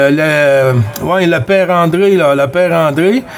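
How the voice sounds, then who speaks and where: Noticeable background noise sits behind a man who speaks at a very slow pace. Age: 50s. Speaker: CB radio operator. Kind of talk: radio chat. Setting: CB radio contact. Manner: hesitant, many fillers.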